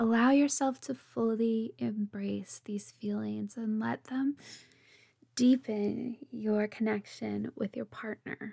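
Very slow, fairly even speech from a woman with a fairly high voice, somewhat breathy, dark and mellow, soothing and gentle, in a dry, close sound with no echo. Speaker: meditation guide. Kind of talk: guided relaxation meditation for couples' intimacy, second-person visualization. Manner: slow, soothing, unhurried pacing with breath cues; gentle, warm and tender delivery.

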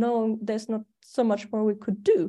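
Over a quiet background, a woman with a German accent speaks in a dark, mellow tone with fairly even intonation. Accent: German accent, persistent. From Germany. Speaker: astrologer. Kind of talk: casual chat.

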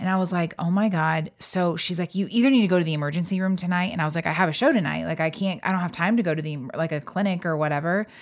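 With an American accent and a fairly low pitch, a woman talks at a very fast pace with hardly any pauses and ordinary pitch variation. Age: 30s. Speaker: comedian and podcast co-host. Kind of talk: casual chat. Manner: animated.

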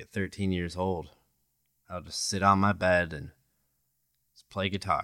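With a very deep, low pitch, a man speaks in a bright, sharp tone and monotone, flat intonation, his loudness swinging widely and his speech broken by long, frequent pauses, on a very clean recording with a silent background. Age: 20s. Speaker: podcast host. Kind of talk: solo monologue podcast. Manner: casual, conversational with fillers.

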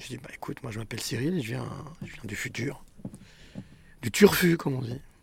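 A man speaks at a fairly quick pace with vocal fry and big swings in loudness. Long, frequent pauses break up his speech. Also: medium pitch for a man, lively intonation. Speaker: podcast host. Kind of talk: interview.

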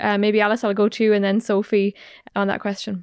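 A woman with an Irish accent speaks at a fairly high pitch. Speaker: podcast host. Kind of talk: interview.

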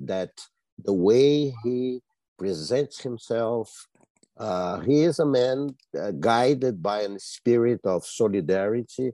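The sound is dry and close with no echo. A speaker with a Brazilian accent talks at a very slow pace with ordinary pitch variation. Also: man, medium pitch for a man. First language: Portuguese. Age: 70s. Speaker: journalist and policy analyst. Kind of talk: panel discussion. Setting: video call.

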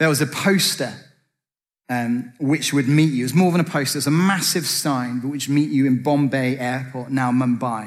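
A man with an English accent speaks at medium pitch in a room with audible echo. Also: ordinary pitch variation, moderate pace. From Britain. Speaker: preacher. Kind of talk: sermon.

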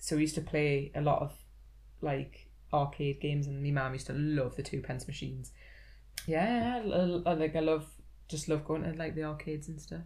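A woman speaks in a somewhat breathy voice at a very deep, low pitch with ordinary pitch variation. Audible room echo surrounds her voice. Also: moderate pace. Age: 30s. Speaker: gaming podcast guest. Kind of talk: casual chat.

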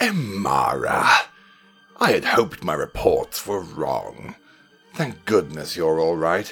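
A man puts on a raspy character voice at a fairly slow pace. Faint music plays in the background. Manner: cold, smug, menacing.

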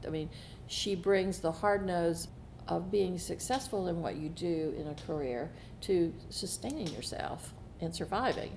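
With vocal fry, a woman speaks fairly slowly at a fairly low pitch and ordinary pitch variation. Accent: Southern US. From US South. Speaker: foundation trustee. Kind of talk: casual interview conversation.

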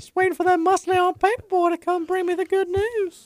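A squeaky, extremely high-pitched put-on character voice at a fairly quick pace. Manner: creepy.

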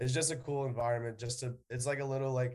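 The speech comes at a very fast pace with an American accent. The voice is somewhat breathy. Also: man. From New York City, the Bronx. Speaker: college baseball player. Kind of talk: interview.

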